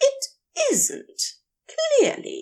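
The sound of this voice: Using a put-on character voice, a woman speaks at an extremely high pitch with a dark, mellow tone, very wide pitch swings and a very slow pace.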